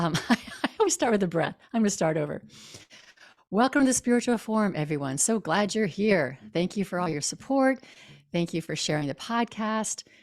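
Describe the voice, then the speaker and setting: In a very clean recording with a silent background, a woman's voice shows very wide pitch swings, the sound dry and close with no echo. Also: medium pitch for a woman, fairly quick pace. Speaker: podcast host. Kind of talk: podcast introduction.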